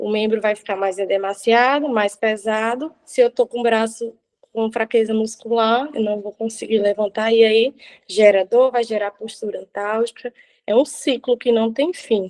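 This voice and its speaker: A woman speaks in a normal speaking voice, fairly high in pitch, at a moderate pace. Her intonation stays fairly even, and the sound is dry and close with no echo. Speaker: physiotherapist. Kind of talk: lecture.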